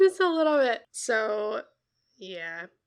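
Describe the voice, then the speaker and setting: A woman speaks in a bright, sharp tone. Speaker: book podcast co-host. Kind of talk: casual chat.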